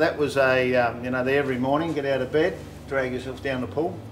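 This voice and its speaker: Someone with an Australian accent speaks at a moderate pace over light background noise. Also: man. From Broken Hill, New South Wales, Australia; New South Wales, Australia. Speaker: car builder and channel host; channel host. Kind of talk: casual chat. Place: home room.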